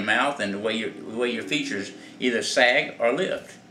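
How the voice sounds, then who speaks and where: A man speaks amid noticeable background noise, with audible echo from the room. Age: 70s. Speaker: clown makeup instructor. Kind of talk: tutorial. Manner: halting, many fillers and repeats; casual, conversational.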